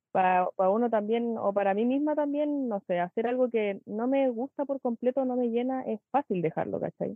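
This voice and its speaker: Speaking at a moderate pace with hardly any pauses, a woman uses a fairly high pitch with ordinary pitch variation. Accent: Chilean. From Chile, Pichilemo. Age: 20s. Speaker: dancer. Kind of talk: interview.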